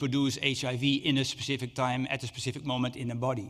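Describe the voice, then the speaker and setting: The intonation here is fairly even. It comes from a man speaking at a medium pitch. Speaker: HIV researcher. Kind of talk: conference lecture. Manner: fast; halting, many fillers.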